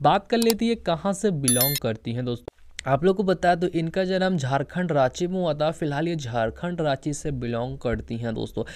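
A man talks at a moderate pace with hardly any pauses, in a plain, everyday voice. His fairly high pitch carries lively intonation. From Bihar, Patna. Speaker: YouTube channel narrator. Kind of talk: informal video narration to viewers.

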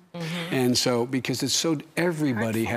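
A man talks in a plain, everyday voice at a fairly quick pace. His pitch is medium and varies in an ordinary way. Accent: American. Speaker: politician. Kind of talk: TV interview answer.

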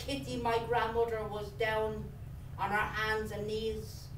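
With noticeable background noise, a woman speaks in a Dublin accent. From Dublin, Ireland. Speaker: writer. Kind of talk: reading aloud. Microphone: camera far.

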